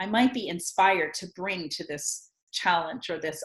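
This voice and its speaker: A woman speaks at a moderate pace with lively intonation and a fairly low pitch. She has a normal speaking voice. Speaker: communication coach and workshop leader. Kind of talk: casual conversation, explaining a tool.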